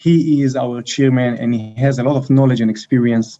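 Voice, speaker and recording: With a strong Israeli accent, a man speaks at a moderate pace and medium pitch, using fairly even intonation and a dark, mellow tone. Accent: heavy Israeli. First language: Hebrew. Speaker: company co-founder and CEO. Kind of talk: interview. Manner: thoughtful.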